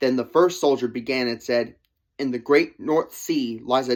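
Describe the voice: Plain reading aloud plays out with a quiet background behind it.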